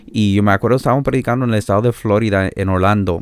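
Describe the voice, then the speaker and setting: A man talks with fairly even intonation. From Canada, born in El Salvador. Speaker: pastor and itinerant preacher. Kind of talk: interview, personal testimony. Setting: remote call.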